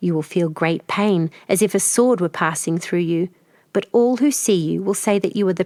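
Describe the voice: The speaker reads plainly aloud, letting the pitch vary in an ordinary way.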